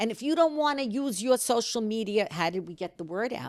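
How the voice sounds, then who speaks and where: A woman with a New York accent, fairly quick pace and very wide pitch swings, on a very clean recording with a silent background. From US Northeast, New York City. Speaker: community organizer, grandmother of the host. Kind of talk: casual chat.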